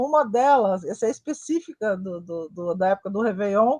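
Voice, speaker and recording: A woman with lively intonation talks at a moderate pace, the background quiet. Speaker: web TV show host. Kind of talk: interview chat. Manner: animated.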